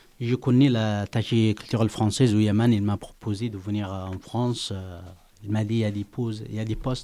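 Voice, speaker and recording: The man's tone is dark and mellow, his pitch fairly low. He speaks fairly slowly with fairly even intonation. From Yemen. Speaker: asylum seeker. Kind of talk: poetry reading.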